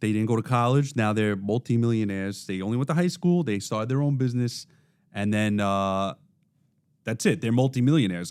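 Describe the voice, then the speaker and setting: The recording is very clean, with a silent background. A man with a Brooklyn accent talks at a fairly quick pace, using a medium pitch and ordinary pitch variation. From Brooklyn, New York. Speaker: podcast host. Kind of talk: casual chat.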